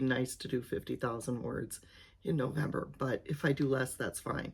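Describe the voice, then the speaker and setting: A woman speaks at a moderate pace, somewhat breathy. The recording is very clean, with a silent background. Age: 60s. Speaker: retired teacher and aspiring novelist vlogger. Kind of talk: casual vlog monologue. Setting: home office. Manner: halting, with many fillers.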